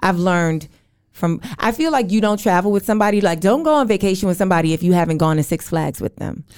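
A woman's medium-pitched voice with an American accent, at a very fast pace. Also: lively intonation. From New York City. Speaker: comedian. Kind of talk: casual chat.

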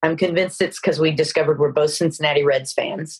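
Somewhat breathy, a woman with an American accent speaks at a fairly quick pace. Her pitch is very deep and low. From Texas, Dallas. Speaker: film producer. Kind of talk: interview.

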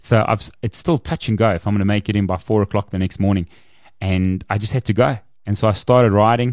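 Against a quiet background, a man speaks at a very fast pace in a fairly low pitch, the sound dry and close with no echo. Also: ordinary pitch variation. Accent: South African. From South Africa, Kempton Park, East Rand. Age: 40s. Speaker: author and motivational speaker. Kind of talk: interview storytelling. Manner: animated.

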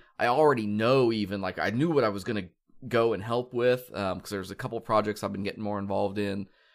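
A man with an American accent and fairly low pitch speaks with fairly even intonation on a very clean recording with a silent background. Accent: Midwestern drawl, slight Southern. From Kansas. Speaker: podcast host. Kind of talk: casual podcast chat.

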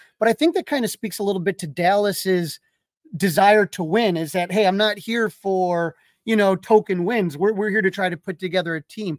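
On a very clean recording with a silent background and a dry, close sound with no echo, a man speaks at a moderate pace with a high pitch and ordinary pitch variation. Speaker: sports podcast interviewer. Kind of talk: interview.

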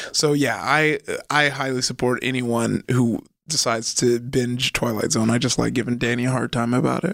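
A man speaks in a plain, everyday voice at a medium pitch. His loudness stays very even and his pace is moderate. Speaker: podcast host. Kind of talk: casual chat. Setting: studio. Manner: upbeat, laughs often.

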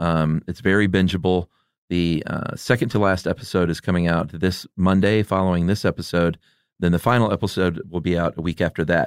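In a very clean recording with a silent background and a dry, close sound with no echo, a man with an American accent speaks at a fairly quick pace in a very deep, low pitch with fairly even intonation. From Atlanta, US South. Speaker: movie podcast host. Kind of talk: casual interview chat.

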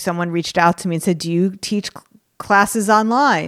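A woman with an unremarkable speaking voice talks at a medium pitch with ordinary pitch variation, in a dry, close sound with no echo. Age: 50s. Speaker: artist and business coach. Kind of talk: casual interview.

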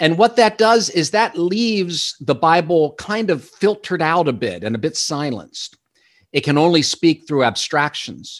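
Here a man talks in a high pitch with lively intonation. His pace is moderate. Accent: American. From Pennsylvania, Lehigh Valley. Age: 50s. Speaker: author. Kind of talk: interview.

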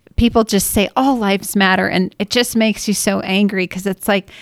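An ordinary speaking voice from a woman with a fairly high pitch and an American accent, at a moderate pace, in a very clean recording with a silent background and a dry, close sound with no echo. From Washington state. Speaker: mother. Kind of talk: casual conversation.

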